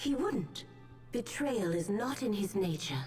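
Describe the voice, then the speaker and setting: Against clear background music, a female-sounding put-on character voice speaks fairly slowly at a medium pitch. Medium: game stream. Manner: calm, soothing.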